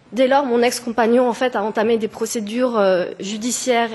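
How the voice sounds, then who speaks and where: Noticeable background noise sits behind a woman's fairly high voice. She keeps a moderate pace and fairly even intonation. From France, near German border. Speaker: petitioner. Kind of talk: formal testimony. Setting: parliamentary committee hearing. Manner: halting.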